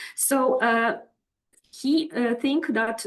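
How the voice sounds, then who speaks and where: This woman has a non-native accent. She talks very slowly. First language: not English. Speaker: professor. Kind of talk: lecture. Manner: halting, many fillers.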